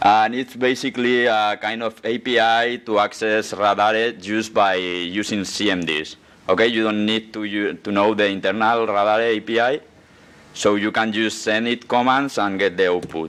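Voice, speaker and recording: The speaker has a Spanish accent and a moderate pace. Intonation stays fairly even. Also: man, fairly low pitch for a man. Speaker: security researcher. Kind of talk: conference talk. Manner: halting.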